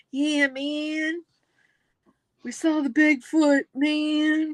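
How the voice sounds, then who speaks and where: In a put-on character voice, a woman speaks at a very slow pace with a high pitch and monotone, flat intonation. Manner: slurring, lazy.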